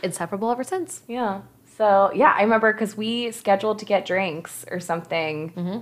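A woman with a West Coast American accent talks at a fairly quick pace. Her pitch is medium, with ordinary variation. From Southern California. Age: 30s. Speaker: podcast co-host. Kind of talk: casual chat.

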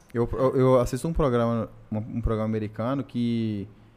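With a plain, everyday voice, a man speaks at a medium pitch. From Brasília, Brazil. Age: 30s. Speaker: podcast co-host. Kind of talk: casual chat.

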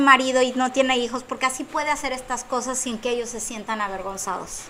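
Projecting a raised voice at a moderate pace, a woman with a high pitch is heard over noticeable background noise. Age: 40s. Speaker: comedian and psychologist. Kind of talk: casual chat.

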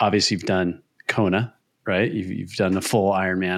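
A man speaks with a normal speaking voice. His pitch is fairly low and his pace fairly quick. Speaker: podcast host. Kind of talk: casual chat.

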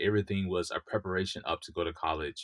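In a dry, close sound with no echo, a man talks in an ordinary speaking voice with a fairly low pitch. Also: quiet background. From US South, Mississippi. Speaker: software engineer. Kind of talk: interview.

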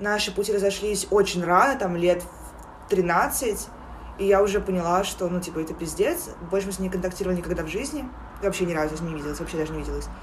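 Despite long, frequent pauses, a woman talks at a very fast pace with ordinary pitch variation, amid audible room echo and noticeable background noise. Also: medium pitch for a woman. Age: 20s. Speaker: podcast co-host. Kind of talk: casual chat.

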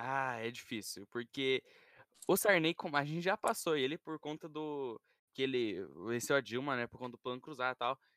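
A man talks at a moderate pace in a medium pitch with ordinary pitch variation and a bright, sharp tone. The sound is dry and close, with no echo. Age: young. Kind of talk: casual chat.

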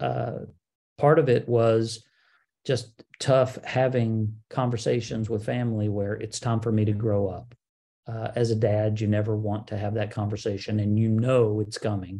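Against a quiet background, a man talks at a fairly slow pace with a fairly low pitch and fairly even intonation. His voice is somewhat breathy, with a dark, mellow tone. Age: 50s. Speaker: podcast host. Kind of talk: solo Q&A podcast monologue.

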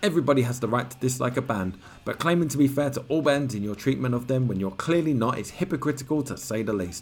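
Someone with a British accent talks at a very fast pace with ordinary pitch variation over music in the background. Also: man. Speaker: podcast host. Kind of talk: reading magazine aloud with commentary.

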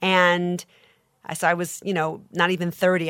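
A woman with an American accent, fairly low in pitch with fairly even intonation, an unremarkable speaking voice on a very clean recording with a silent background. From Long Island, New York. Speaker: literary agent. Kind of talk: interview.

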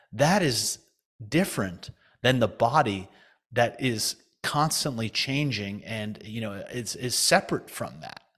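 In a normal speaking voice of medium pitch, a man speaks at a fairly slow pace with lively intonation and big swings in loudness. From US, New Jersey. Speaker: financial advisor, retired hedge fund partner. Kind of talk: podcast interview.

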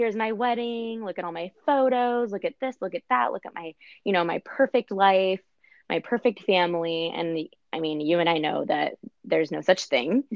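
A woman speaks in a normal speaking voice at a medium pitch and moderate pace, with lively intonation. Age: 30s. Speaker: podcast guest. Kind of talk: casual chat.

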